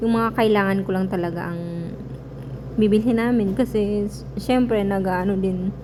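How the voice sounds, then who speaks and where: Her speech moves at a moderate pace. Around this woman's voice there is noticeable background noise and an audible echo from the room. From Philippines. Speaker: vlogger. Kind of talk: vlog voice-over. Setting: voice-over recorded separately. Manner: casual, hesitant.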